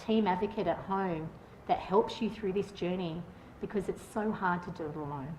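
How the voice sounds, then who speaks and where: A woman speaks at a medium pitch with ordinary pitch variation and a moderate pace. There is audible room echo. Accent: Australian. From Australia, Northern Beaches Sydney. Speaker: patient advocate. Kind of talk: conference talk. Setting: stage with audience. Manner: loud; halting.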